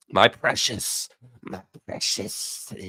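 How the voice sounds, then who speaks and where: Putting on a character voice, a man speaks with a raspy sound. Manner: hissing, possessive, croaky.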